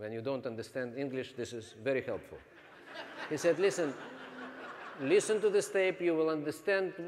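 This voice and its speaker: A man speaks at a moderate pace with a non-native accent. His intonation is lively. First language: not English. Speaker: network marketing trainer. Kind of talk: training seminar talk.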